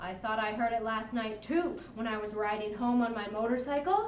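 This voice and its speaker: A put-on character voice that sounds female speaks at a moderate pace, with slight echo and clear background noise. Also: fairly high pitch for a woman. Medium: stage. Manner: hesitant, halting.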